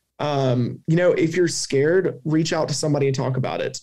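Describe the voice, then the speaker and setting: Speaking with a Southern US accent, a man has a somewhat breathy, dark, mellow tone, a moderate pace and fairly even intonation. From US South. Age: 20s. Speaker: cancer survivor and advocate. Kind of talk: interview testimony.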